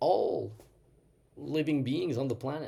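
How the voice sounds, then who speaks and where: This man has a French accent and a fairly high pitch, with a dark, mellow tone and some vocal fry. He talks at a moderate pace. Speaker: doctor and nutrition educator. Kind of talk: casual talk to camera, unscripted. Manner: some hesitations and fillers.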